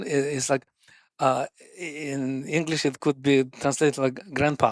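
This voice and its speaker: A man at a very slow pace, in a dry, close sound with no echo. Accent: strong Russian. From Russia. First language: Russian. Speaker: sports scientist, running coach. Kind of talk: podcast interview answer.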